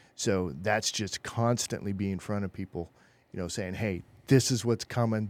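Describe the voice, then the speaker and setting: A man with an ordinary speaking voice talks at a moderate pace and fairly even intonation in a very clean recording with a silent background. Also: dry, close sound with no echo. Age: 50s. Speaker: podcast host. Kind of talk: casual chat. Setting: studio.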